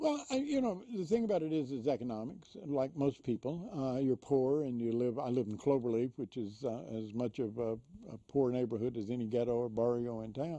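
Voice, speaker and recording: A man with a Texas accent speaks in a dark, mellow tone. He moves at a fairly quick pace with hardly any pauses. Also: medium pitch for a man, ordinary pitch variation. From Houston area, Texas. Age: 70s. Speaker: prison reform activist. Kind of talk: interview storytelling. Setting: studio.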